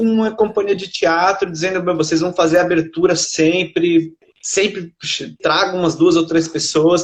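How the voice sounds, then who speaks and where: At a moderate pace, a man talks in a high-pitched voice. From Brazil, São Paulo. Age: 30s. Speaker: poet and literature researcher. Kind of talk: interview.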